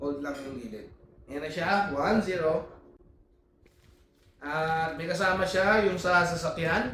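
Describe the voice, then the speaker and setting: Speaking at a fairly slow pace with long, frequent pauses, a man with a high pitch shows ordinary pitch variation and big swings in loudness, with audible room echo and noticeable background noise. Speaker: family vlogger. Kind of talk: unboxing vlog. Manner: casual.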